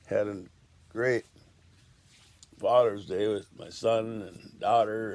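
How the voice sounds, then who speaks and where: A man's medium-pitched voice at a very slow pace. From Washington state, USA. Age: 70s. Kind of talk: casual talk to camera.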